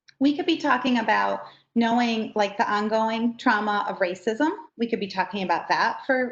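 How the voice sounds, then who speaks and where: A woman with a fairly high, somewhat breathy voice speaks at a moderate pace with ordinary pitch variation. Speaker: trainer for educators. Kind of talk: training workshop.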